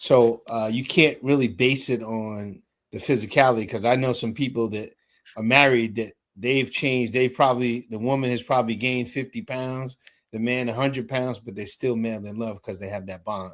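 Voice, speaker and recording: A normal speaking voice from a man, medium in pitch, with fairly even intonation, a moderate pace and big swings in loudness. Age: 60s. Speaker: show host, military veteran. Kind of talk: casual group discussion.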